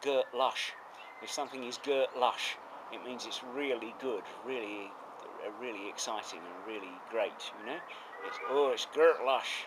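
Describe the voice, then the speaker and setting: Over noticeable background noise, a man at a medium pitch speaks at a fairly slow pace. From southeast England, Essex. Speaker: retired professor. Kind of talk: interview. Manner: hesitant with fillers.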